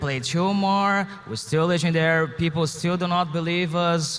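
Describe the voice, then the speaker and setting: A man's high-pitched voice at a fairly slow pace. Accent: Portuguese. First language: Portuguese. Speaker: professional esports player. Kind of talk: interview. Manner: halting.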